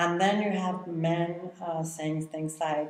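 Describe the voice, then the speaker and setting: Speaking very slowly with a Mexican accent, a woman keeps a fairly low pitch and fairly even intonation amid audible room echo. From Mexico City. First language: Spanish. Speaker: artist. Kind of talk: interview. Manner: halting.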